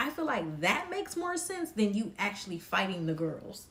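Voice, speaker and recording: Over noticeable background noise, a woman talks with very wide pitch swings. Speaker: live stream commentator. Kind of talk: casual live stream chat. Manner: slow.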